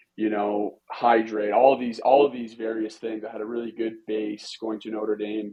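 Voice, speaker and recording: This man speaks with a Western Canadian accent. His pitch is fairly low and his pace moderate. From Canada, British Columbia (Vancouver Island). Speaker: pro hockey goalie and goalie coach. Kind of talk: podcast interview.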